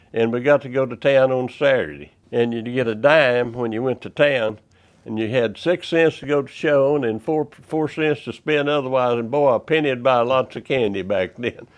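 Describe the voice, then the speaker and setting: A man in a Texan accent talks with hardly any pauses. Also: medium pitch for a man, ordinary pitch variation, moderate pace. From Texas, Goldthwaite. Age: 90s. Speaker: dentist. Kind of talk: interview.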